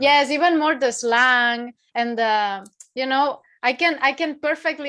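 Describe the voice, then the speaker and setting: A woman speaks with a Spanish accent in a bright, sharp tone. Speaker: horror channel interviewer. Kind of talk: casual interview chat.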